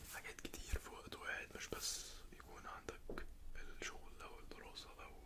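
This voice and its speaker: A man whispers at a moderate pace against noticeable background noise. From Egypt. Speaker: ASMR creator. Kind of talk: ASMR roleplay. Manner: whispered, soft-spoken.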